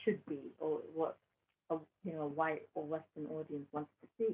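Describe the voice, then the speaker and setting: In a British accent, a woman speaks at a fairly slow pace. Her pitch is fairly low with ordinary pitch variation. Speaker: artist. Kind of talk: interview answer. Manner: eloquent.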